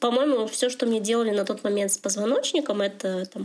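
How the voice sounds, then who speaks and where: Speaking at a fairly quick clip, a woman uses a medium pitch with ordinary pitch variation. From Russia, Chelyabinsk. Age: 30s. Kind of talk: casual chat. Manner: halting.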